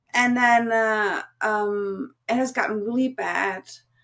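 Very slow speech from a woman, fairly high in pitch with ordinary pitch variation. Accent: German. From Germany. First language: German. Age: 40s. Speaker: cam model and content creator. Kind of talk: casual interview.

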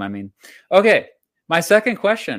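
Speaking at a moderate pace with an American accent, the voice swings very widely in pitch. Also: man. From United States. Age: 40s. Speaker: history YouTuber. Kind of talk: casual interview chat. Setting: live-streamed video call.

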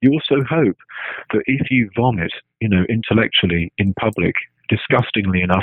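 A man talks at a fairly quick pace in a medium pitch. His pitch varies an ordinary amount. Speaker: philosopher. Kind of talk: interview conversation. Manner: hesitant with many fillers.

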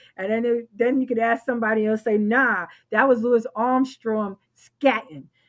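A woman with a fairly high voice and a New York accent talks at a moderate pace with fairly even intonation. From New York, the Bronx. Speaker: swing dance organizer. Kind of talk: casual chat.

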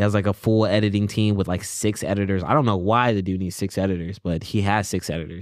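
Words pour out at a very fast pace, with hardly any pauses between them. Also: man, fairly low pitch for a man. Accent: American. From US South, South Carolina. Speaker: roommate of the featured musician. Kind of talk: casual chat.

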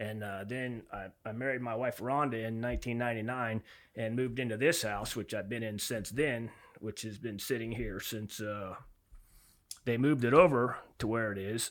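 With an American accent, a man speaks at a medium pitch. His pace is moderate and his intonation fairly even. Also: very clean recording, silent background. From Florida Keys. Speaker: fishing guide. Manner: loud.

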